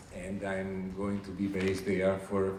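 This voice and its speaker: Audible room echo surrounds a man's very deep, low voice with an Italian accent. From Italy. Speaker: international finance organization staff presenter. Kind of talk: recruitment presentation. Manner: hesitant with fillers.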